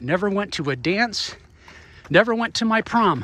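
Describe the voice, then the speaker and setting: Lively intonation marks this speech, which moves at a moderate pace. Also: man. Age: 50s. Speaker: vlogger and runner, former military helicopter pilot. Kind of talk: casual vlog while running. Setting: outdoors, walking and running around hometown. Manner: casual, conversational.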